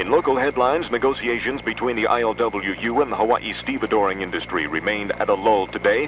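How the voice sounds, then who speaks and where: Speech comes at a fairly quick pace with lively intonation. Noticeable background noise runs underneath. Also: man. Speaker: radio news announcer. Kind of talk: radio newscast delivery.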